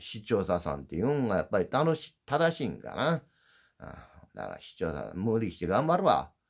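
A gruff man with an Osaka accent against a quiet background. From Osaka, Japan. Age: old. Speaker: YouTuber, former dump truck driver; YouTuber. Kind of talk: casual livestream chat; casual vlog chat. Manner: sounds gruff, as if angry. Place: home room. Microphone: phone near.

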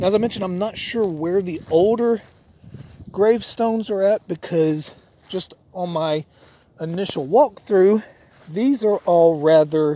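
A man's high-pitched voice with a dark, mellow tone and ordinary pitch variation, at a fairly slow pace with long, frequent pauses, in a dry sound with no echo. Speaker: paranormal vlogger. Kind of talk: casual vlog narration. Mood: calm, hushed exploration. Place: open country. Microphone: phone near.

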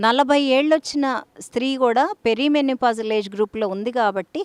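The sound is dry and close, without any echo. This woman has a high pitch and ordinary pitch variation. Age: 60s. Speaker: doctor. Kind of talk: health advice talk.

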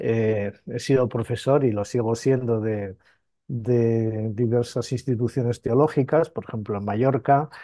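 Speaking at a fairly slow pace, a man has a plain, everyday voice at medium pitch with fairly even intonation. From Spain, Asturias (mining town). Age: 50s. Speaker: priest and theologian. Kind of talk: interview. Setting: on location at an abbey in Italy.

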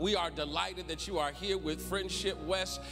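A man at a moderate pace over clear music in the background. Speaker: church service host. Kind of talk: worship welcome and announcements. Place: church. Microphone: handheld.

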